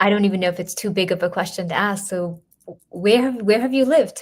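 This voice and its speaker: Speaking at a moderate pace, a woman with an American accent has a medium pitch, ordinary pitch variation and a somewhat breathy sound. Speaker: interviewer. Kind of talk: interview.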